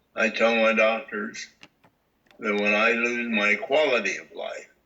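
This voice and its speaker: A man is speaking. He has an American accent. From Montana. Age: 90s. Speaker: elderly relative interviewed. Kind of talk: interview. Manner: halting.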